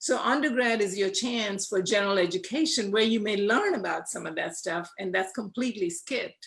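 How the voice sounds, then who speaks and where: In an ordinary speaking voice, a woman talks at a fairly quick pace with hardly any pauses, at a medium pitch and with ordinary pitch variation. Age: 60s. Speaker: panelist. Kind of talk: panel discussion.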